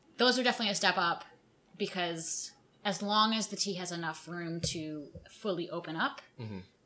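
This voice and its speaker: A woman's fairly low-pitched voice, bright and sharp in tone, with lively intonation at a fairly quick pace. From New York suburbs. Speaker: tea company founder. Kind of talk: casual interview.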